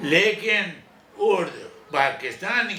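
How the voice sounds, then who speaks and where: Background noise is noticeable here. Through it, a man talks. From India. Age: 80s+. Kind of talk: interview answer.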